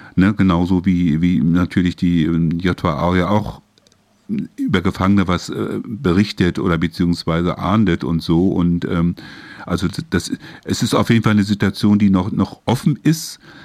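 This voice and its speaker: With a very deep, low pitch, the man keeps a moderate pace and ordinary pitch variation. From northern Germany, Hamburg. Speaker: radio host. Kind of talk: interview. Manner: halting.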